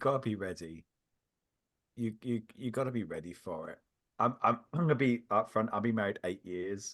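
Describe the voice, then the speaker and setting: A man speaks with a slight British accent, pausing long and often. The background is quiet. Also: medium pitch for a man, ordinary pitch variation, moderate pace. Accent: subtle British. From England. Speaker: podcaster. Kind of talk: casual chat. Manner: halting.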